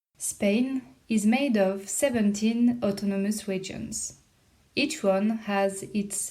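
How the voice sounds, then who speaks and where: In a French accent, a woman speaks at a very slow pace with fairly even intonation. Her medium-pitched voice is dark, mellow and somewhat breathy. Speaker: podcast host. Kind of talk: scripted narration.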